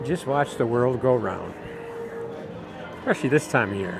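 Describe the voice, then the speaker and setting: Noticeable background noise sits under a man speaking at a medium pitch and moderate pace with ordinary pitch variation. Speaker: theme park vlogger and host. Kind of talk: casual talk to camera, walkthrough narration. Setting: outdoors, walking through a theme park. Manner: relaxed, friendly, smooth.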